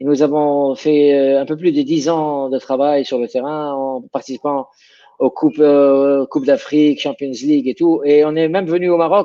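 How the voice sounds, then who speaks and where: A man speaks in a fairly high voice. His pace is fairly slow and his intonation fairly even. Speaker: sports science professor. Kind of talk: interview. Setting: video call. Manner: halting.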